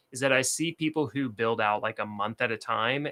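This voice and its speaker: A man with a Southern US accent talks fairly quickly in a bright, sharp, medium-pitched voice with ordinary pitch variation, recorded very cleanly against a silent background with a dry, close sound and no echo. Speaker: productivity and bullet journal creator. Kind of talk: casual livestream talk to camera.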